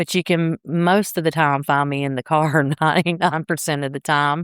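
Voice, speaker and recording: A woman with a South Carolina accent and ordinary pitch variation, in a very clean recording with a silent background and a dry, close sound with no echo. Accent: South Carolina drawl. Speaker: real estate agent and podcast host. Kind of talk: interview answers.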